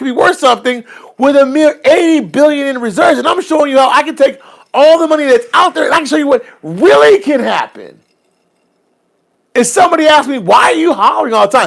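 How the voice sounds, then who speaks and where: This loud, animated voice speaks at a very fast pace. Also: man. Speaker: livestream host on currency investing. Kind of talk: casual livestream chat. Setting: live stream. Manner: loud, hollering.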